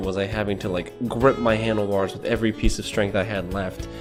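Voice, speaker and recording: Music plays in the background while a man talks at a fairly quick pace. He has an American accent and a fairly low pitch. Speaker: retail worker. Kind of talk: casual talk to camera.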